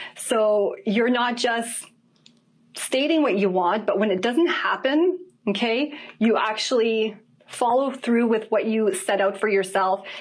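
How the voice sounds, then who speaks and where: The voice is an unremarkable speaking voice, with a moderate pace. Its intonation rises and falls in a lively way. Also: woman. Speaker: dating and relationship coach. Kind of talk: online class on dating.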